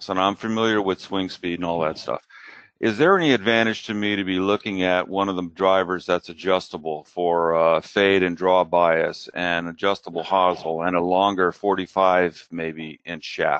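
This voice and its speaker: With hardly any pauses, a man talks at a moderate pace in a very deep, low pitch with fairly even intonation. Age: 60s. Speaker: amateur golfer asking a question. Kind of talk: question to an expert on a live show.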